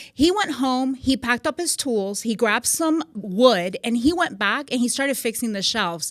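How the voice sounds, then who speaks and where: With a slight Puerto Rican accent, a woman speaks at a moderate pace and a high pitch, with hardly any pauses and noticeable background noise. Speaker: magazine CEO, military veteran. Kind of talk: podcast interview.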